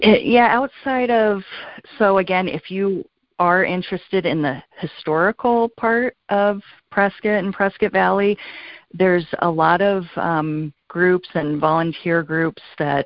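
Using an unremarkable speaking voice, a woman with an American accent talks at a fairly slow pace with medium pitch and ordinary pitch variation. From California. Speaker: real estate agent. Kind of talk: interview.

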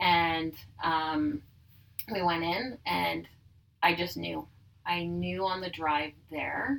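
A woman with a Manitoban accent speaks very slowly, leaving long, frequent pauses. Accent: Canadian (Manitoba). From Manitoba, Canada (Dugald, near Winnipeg). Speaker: business owner. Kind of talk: personal testimony in casual interview. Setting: in person at her tanning salon.

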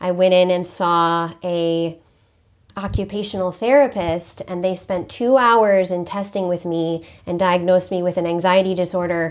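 A woman speaks in a plain, everyday voice, pitched fairly low. Her pitch varies in an ordinary way at a moderate pace. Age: 40s. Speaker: podcast host, emotional health specialist. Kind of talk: interview conversation.

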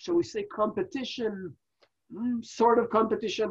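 A man with an Israeli accent speaks with very wide pitch swings. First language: Hebrew. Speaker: wrestling podcast co-host. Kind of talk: casual review chat. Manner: halting, many fillers.

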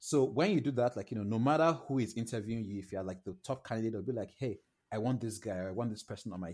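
Talking at a very fast pace, a man with a Nigerian accent has a fairly low pitch and ordinary pitch variation. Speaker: product designer. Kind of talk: casual interview.

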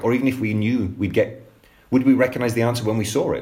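A man talking very fast, his voice somewhat breathy. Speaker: book editor and co-author, host. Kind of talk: panel discussion.

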